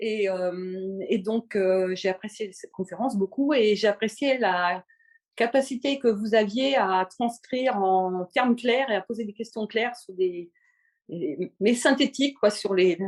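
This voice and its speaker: Against a quiet background, a woman talks at a fairly slow pace with a fairly high pitch and ordinary pitch variation. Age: 60s. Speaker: podcast listener, retiree. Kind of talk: casual interview. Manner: halting, many hesitations.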